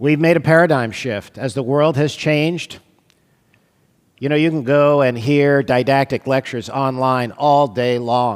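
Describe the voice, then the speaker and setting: A man speaks at a fairly slow pace in an ordinary speaking voice. His pitch is fairly high and his intonation fairly even. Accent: American. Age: 60s. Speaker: radiologist lecturer. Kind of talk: lecture. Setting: stage with audience.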